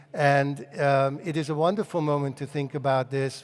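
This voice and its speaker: A man speaks with a Hungarian accent. His pitch is fairly high. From Hungary. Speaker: cultural consultant and author. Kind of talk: lecture. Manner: hesitant, many fillers and repetitions.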